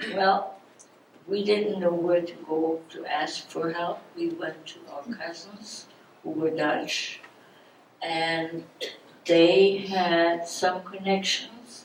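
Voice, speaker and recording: Over noticeable background noise, a woman speaks at a very slow pace in a fairly low pitch, her intonation monotone and flat while her loudness swings widely. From Germany. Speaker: Holocaust survivor speaker. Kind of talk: public talk.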